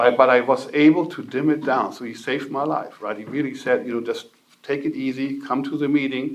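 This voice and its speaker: With a German accent, a man talks in a fairly high pitch. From northern Germany. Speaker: recovery speaker. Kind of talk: testimony.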